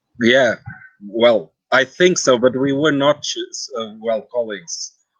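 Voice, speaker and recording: Very slowly, a man talks in a Portuguese accent. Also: medium pitch for a man, ordinary pitch variation. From Portugal. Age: 40s. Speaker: translator and guide. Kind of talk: interview. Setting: live video stream. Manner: halting.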